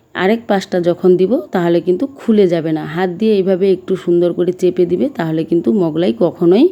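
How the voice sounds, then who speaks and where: This woman has a medium-pitched voice with a dark, mellow tone. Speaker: cooking youtuber. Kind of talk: cooking tutorial.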